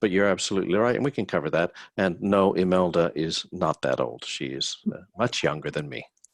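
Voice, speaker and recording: A man with a very deep, low pitch and vocal fry talks at a fairly quick pace. His intonation is lively, and he leaves hardly any pauses. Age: 60s. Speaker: hospitality business owner and panelist. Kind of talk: webinar panel discussion.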